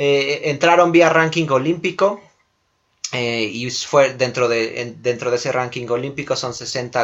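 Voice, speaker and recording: The voice moves at a moderate pace. Its pitch variation is ordinary. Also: man. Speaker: sports podcast host. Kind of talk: casual sports chat. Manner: halting, frequent repetitions.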